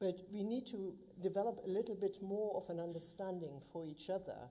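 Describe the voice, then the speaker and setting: A woman speaks fairly slowly at a fairly low pitch with a dark, mellow tone. Her pitch varies in an ordinary way, and the room echo is audible. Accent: German. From Germany. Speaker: local councillor. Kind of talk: council meeting speech. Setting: council chamber, live streamed.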